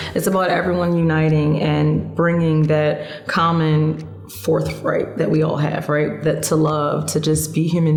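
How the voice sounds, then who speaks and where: Music plays in the background and the room echo is audible as a woman with an American accent speaks in a very deep, low voice with flat, monotone intonation. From Philadelphia, US. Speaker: singer-songwriter. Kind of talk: interview.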